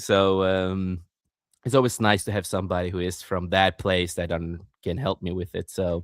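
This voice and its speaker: The speaker has a non-native accent and fairly even intonation. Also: man, very deep, low pitch for a man. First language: not English. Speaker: podcast host and author. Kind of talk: casual chat. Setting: live stream. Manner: fast.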